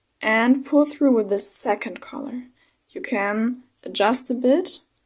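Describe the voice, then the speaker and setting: A woman speaks with a non-native accent at a high pitch. Her pitch varies in an ordinary way. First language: not English. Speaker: crochet tutorial creator. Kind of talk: tutorial. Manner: slightly halting, self-correcting.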